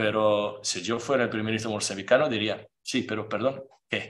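A man with a Portuguese accent speaks at a fairly slow pace in a monotone, flat intonation. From Portugal. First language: Portuguese (speaking Spanish). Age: 40s. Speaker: playwright; speaker. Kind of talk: lecture. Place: meeting room. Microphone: podium.

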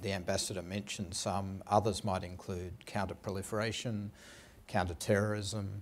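Flat and monotone, a man speaks in a fairly low pitch with an Australian accent. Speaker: intelligence official; panelist. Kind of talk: panel discussion. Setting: stage with audience. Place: stage. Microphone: lapel.

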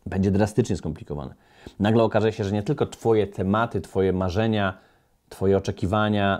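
Against a quiet background, a man talks at a fairly quick pace. His voice is fairly low in pitch with a dark, mellow tone. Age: 40s. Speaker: motivational coach. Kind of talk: motivational monologue. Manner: animated. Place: studio. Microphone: studio mic.

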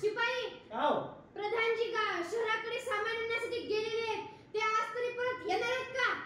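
A put-on character voice moves at a fairly slow pace with monotone, flat intonation. There is a clear echo. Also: woman, extremely high pitch for a woman. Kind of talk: comic street-theatre acting. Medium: comedy sketch. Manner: commanding, loud.

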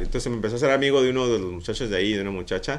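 A man's voice with ordinary pitch variation. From Mexico, Mazatlán; Mexico. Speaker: art director and street artist; interview guest. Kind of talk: casual interview. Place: office. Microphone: studio mic.

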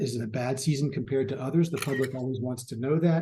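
A man's dark, mellow, somewhat breathy voice at a fairly quick pace. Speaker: public health expert presenting at a webinar. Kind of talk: webinar presentation. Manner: fast.

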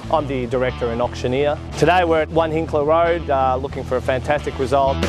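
Speaking quickly with hardly any pauses, a man with an Australian accent has a fairly high pitch and ordinary pitch variation, recorded dry with no echo and clear music playing behind him. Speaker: real estate auctioneer. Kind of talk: interview answer. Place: garden. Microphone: lapel.

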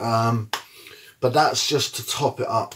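A man speaks in a flat monotone against a quiet background. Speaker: fitness vlogger. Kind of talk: casual vlog chat. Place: home room. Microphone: phone near.

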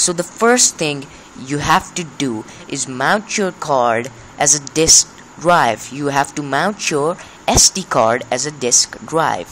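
A man with a non-native accent, fairly high in pitch for a man, lively in intonation, at a very slow pace, over light background noise. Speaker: amateur tech tutorial maker. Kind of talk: screen-recording tech tutorial. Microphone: phone near.

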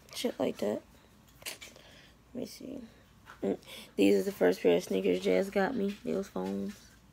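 A woman speaking at a fairly slow pace. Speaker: vlogger. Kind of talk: casual vlog chat. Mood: relaxed, affectionate. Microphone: phone near.

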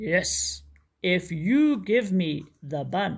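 A put-on, growling character voice at middle pitch

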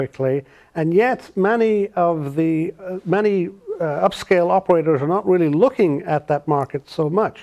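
A man's high-pitched voice with an Irish accent, lively intonation and a moderate pace, over a quiet background. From Ireland. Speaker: restaurateur, consultant. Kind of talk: interview answer. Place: studio. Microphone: lapel.

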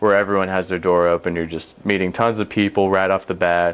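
With an American accent, a man talks at a fairly quick pace in a very deep, low pitch and a monotone, flat intonation. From US South. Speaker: university student. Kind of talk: interview. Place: studio.

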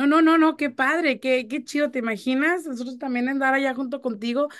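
At a fairly quick pace, a woman speaks in a high pitch. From Mexico (Chihuahua). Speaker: radio host. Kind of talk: casual chat. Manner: animated.

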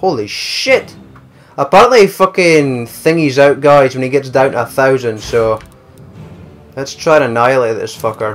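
Music plays in the background as a man speaks. He has a Scottish accent and a moderate pace. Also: medium pitch for a man, ordinary pitch variation. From Scotland. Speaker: gaming YouTuber. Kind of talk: gameplay commentary. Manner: animated.

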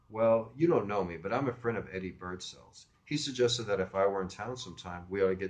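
The speaker uses an unforced reading voice. It comes across as an unforced reading voice throughout.

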